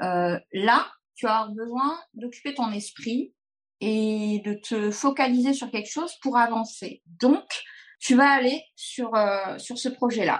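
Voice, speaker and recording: A woman speaks at a very slow pace with a fairly high pitch. The background is quiet. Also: ordinary pitch variation. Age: 40s. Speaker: pastry chef. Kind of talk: casual chat.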